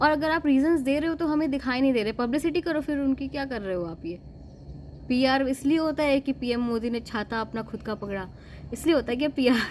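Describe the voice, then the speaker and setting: At a moderate pace, a woman talks in a high voice. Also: ordinary pitch variation. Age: 20s. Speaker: vlogger. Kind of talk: casual opinion monologue. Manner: animated.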